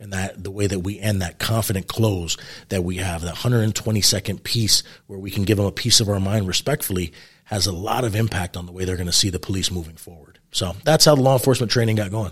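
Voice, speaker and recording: A man talks very fast with an American accent, his fairly low voice somewhat breathy and varying in pitch in an ordinary way. His loudness swings widely, and the recording is very clean with a silent background. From New York City. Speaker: retired police sergeant and police trainer. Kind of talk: interview.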